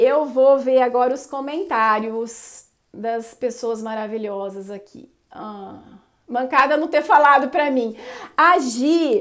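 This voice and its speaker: The voice has an animated tone. Its pitch varies in an ordinary way. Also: woman. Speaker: live-stream host and behavioral coach. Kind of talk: casual live-stream chat. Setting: Instagram live stream.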